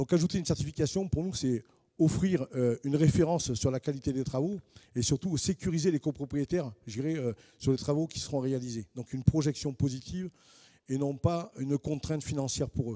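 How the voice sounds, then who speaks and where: In a southern French accent, a man talks at a fairly quick pace with fairly high pitch. His tone is dark and mellow, and the sound is dry and close with no echo. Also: ordinary pitch variation. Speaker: housing finance specialist, panelist. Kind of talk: panel presentation. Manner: hesitant, with frequent fillers and repetitions.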